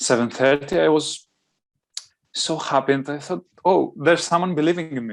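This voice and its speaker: With a non-native accent, the speaker talks over a quiet background with ordinary pitch variation and long, frequent pauses. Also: man, fairly high pitch for a man, moderate pace. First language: not English. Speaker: GMAT test taker. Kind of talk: interview answer.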